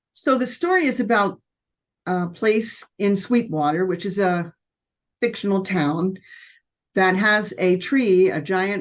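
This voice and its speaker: Here a woman speaks at medium pitch. Hers is a normal speaking voice. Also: very clean recording, silent background. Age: 60s. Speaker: debut novelist. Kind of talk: interview.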